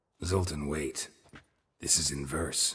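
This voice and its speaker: A man uses a put-on character voice pitched very deep and low. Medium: video game. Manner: terse, dry, low-key.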